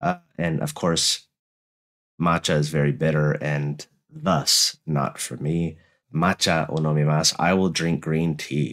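Speaking very slowly with an American accent, a man uses a very deep, low pitch and fairly even intonation. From United States. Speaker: YouTuber learning Japanese. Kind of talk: educational vlog, reading aloud. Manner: halting, frequent fillers.

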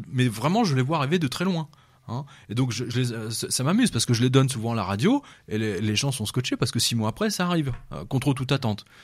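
This man's voice is somewhat breathy, pitched in the medium range. He talks at a very fast pace with lively intonation. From France, of Serbian descent. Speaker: journalist and essayist. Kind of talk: radio interview. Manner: halting, many repetitions.

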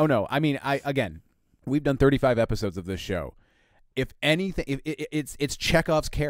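Over a very clean recording with a silent background, a man with a fairly high pitch and vocal fry talks at a moderate pace with lively intonation. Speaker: podcast co-host. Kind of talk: casual chat.

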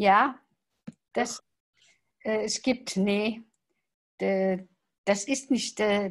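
Against a quiet background, a woman speaks in a somewhat breathy, fairly high voice with fairly even intonation. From Luxembourg. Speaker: salon organiser. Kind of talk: casual chat. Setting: video call. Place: home room. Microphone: video call.

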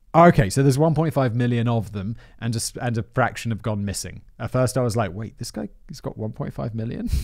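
Over a quiet background, a man speaks at a fairly quick pace. His pitch variation is ordinary. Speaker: podcast host. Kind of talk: script reading with casual commentary. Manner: laid-back. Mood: wry, dismayed. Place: studio. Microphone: studio mic.

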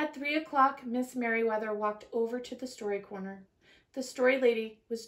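An unforced reading voice, intonation fairly even

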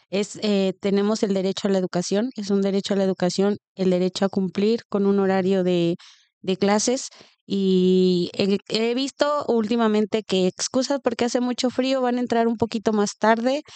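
A woman with a Mexican accent speaks at a moderate pace in a dark, mellow tone, with very even loudness and ordinary pitch variation. The sound is dry with no echo, and the background is quiet. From Mexico. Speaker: podcast co-host. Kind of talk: interview. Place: home room. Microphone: studio mic.

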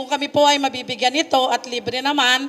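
A woman speaks in a high voice. There is noticeable background noise. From Bulacan, Philippines. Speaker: farmer cooperative member. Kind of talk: public dialogue with official. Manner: polite, formal.

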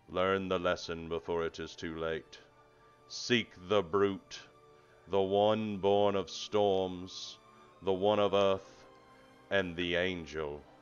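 A man does a put-on character voice, booming and very deep, at a very slow pace with long, frequent pauses. Faint music plays in the background. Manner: ominous, prophetic.

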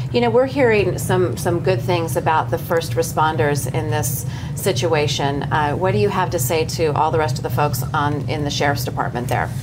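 A woman's very deep, low voice at a moderate pace, with hardly any pauses, very even loudness, ordinary pitch variation and noticeable background noise. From Los Angeles. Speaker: morning TV news host; TV show host. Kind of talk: morning show interview. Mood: earnest, concerned. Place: studio.

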